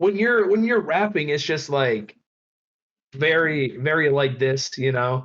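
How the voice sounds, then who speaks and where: Lively intonation marks this man's ordinary speaking voice. He has a fairly high pitch and keeps a fairly slow pace. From Michigan, suburbs of Detroit. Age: 20s. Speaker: rapper. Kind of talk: casual chat.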